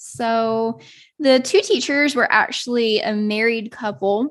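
Against a quiet background, a woman with a fairly high pitch talks in a normal speaking voice with lively intonation. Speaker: podcast host and yoga teacher. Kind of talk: personal monologue.

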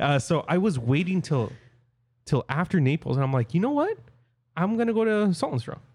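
A man's high-pitched voice at a fairly quick pace, with very wide pitch swings and long, frequent pauses. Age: 20s. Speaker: podcast host. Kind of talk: casual chat. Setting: remote recording.

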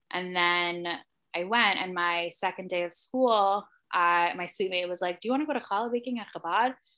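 A woman with a New Jersey accent, medium pitch, ordinary pitch variation and a moderate pace. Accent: New Jersey American. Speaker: magazine editor and writer. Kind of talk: casual interview chat.

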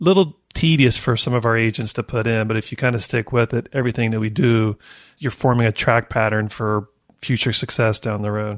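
A man with an ordinary speaking voice talks at a fairly quick pace against a quiet background. His pitch is medium, with ordinary pitch variation. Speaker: real estate agent and podcast host. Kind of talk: casual podcast chat.

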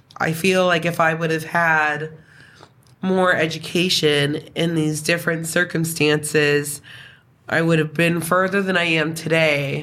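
With a very deep, low pitch and a bright, sharp tone, a woman speaks at a fairly slow pace in monotone, flat intonation and very even loudness, with audible room echo. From New Brunswick, Canada. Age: 30s. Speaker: former youth in care. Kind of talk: casual interview.

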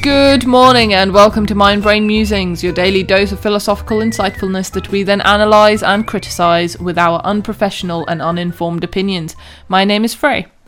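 A woman's medium-pitched voice at a fairly quick pace, with ordinary pitch variation, hardly any pauses, and music in the background. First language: not English. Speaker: podcast co-host. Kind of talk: casual chat; scripted intro.

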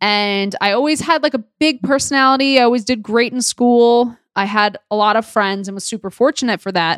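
On a very clean recording with a silent background and a dry, close sound with no echo, a woman with a New York accent talks at a fairly quick pace and fairly high pitch, with hardly any pauses. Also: ordinary pitch variation. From New York City (Queens). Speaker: dietitian and podcast host. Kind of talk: solo podcast monologue.

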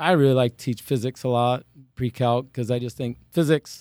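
With an American accent, a man talks at a fairly quick pace using fairly even intonation. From Iowa, US Midwest. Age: 50s. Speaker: retiring teacher and farmer. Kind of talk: interview.

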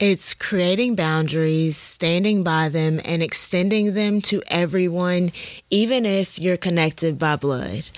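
Here a woman talks at a fairly slow pace in a fairly low voice, keeping her loudness very even. Noticeable background noise sits behind her. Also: ordinary pitch variation. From US South, Alabama. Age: 20s. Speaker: podcast host. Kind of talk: casual monologue.

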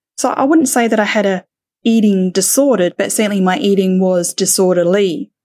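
A woman in an Australian accent at a fairly quick pace, medium pitch with ordinary variation, dark, mellow tone, and a dry, close sound with no echo. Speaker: podcaster. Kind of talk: casual interview chat.

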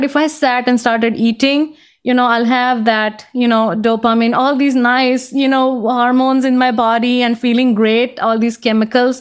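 With an Indian accent, a woman speaks at a moderate pace in a high pitch with fairly even intonation. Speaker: career coach and author. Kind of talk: casual interview. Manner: reflective, laughs often.

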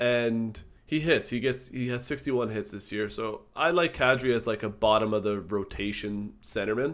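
The speech runs with hardly any pauses and ordinary pitch variation. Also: man, medium pitch for a man, moderate pace. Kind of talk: casual chat.

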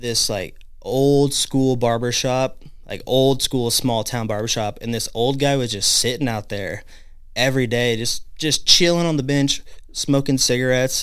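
A man with an unremarkable speaking voice talks at a fairly slow pace, with a medium pitch and fairly even intonation. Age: 20s. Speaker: barber. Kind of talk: casual chat. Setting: studio.

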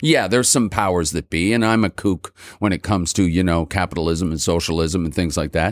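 A man with a Montreal accent speaks at a very deep, low pitch and a fairly quick pace, with ordinary pitch variation. The sound is dry and close with no echo, on a very clean recording with a silent background. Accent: Montreal English (Canadian). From Montreal, Quebec. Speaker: rock singer. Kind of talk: casual chat. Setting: studio.

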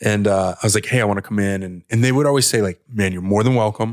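On a very clean recording with a silent background, a man with an American accent uses an ordinary speaking voice at a fairly low pitch and fairly even intonation. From Oregon, US. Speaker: supplement company co-founder. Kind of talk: casual interview. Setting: studio.

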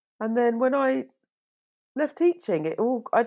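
A woman's dark, mellow tone with a British accent, very wide pitch swings and a fairly slow pace. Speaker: fashion designer and podcast host. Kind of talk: interview conversation. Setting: remote call. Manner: animated.

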